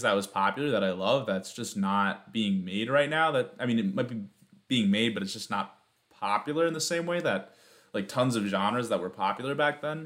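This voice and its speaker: An unremarkable speaking voice from a man at medium pitch, lively intonation and a fairly quick pace, on a very clean recording with a silent background. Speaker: podcast host. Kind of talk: solo opinion monologue. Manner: casual, filler-heavy.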